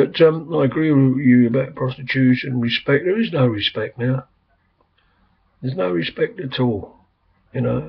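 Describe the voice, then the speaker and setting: The speaker has an English accent and a somewhat breathy voice with ordinary pitch variation. The pace is moderate, broken by long, frequent pauses. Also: man. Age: 60s. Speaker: vlogger. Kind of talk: casual chat. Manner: rambling, hesitant.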